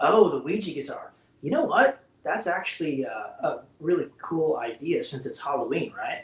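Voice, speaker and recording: An American-accented man at a moderate pace, over noticeable background noise. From US West Coast, Bay Area. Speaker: rock guitarist. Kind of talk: casual interview chat. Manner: loud.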